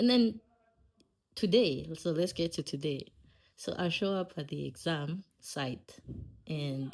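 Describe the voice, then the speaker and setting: A woman at a fairly low pitch and fairly slow pace, lively in intonation, in a very clean recording with a silent background. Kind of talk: casual podcast storytelling. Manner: laid-back.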